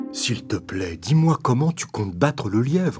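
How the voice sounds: Faint music plays in the background as a man performs a cartoonish character voice at medium pitch and moderate pace.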